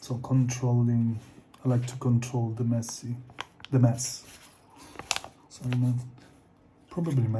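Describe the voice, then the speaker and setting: Over noticeable background noise and audible room echo, a man speaks fairly slowly at a medium pitch in a monotone, flat intonation. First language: not English. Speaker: artist. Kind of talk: casual talk while drawing. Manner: halting.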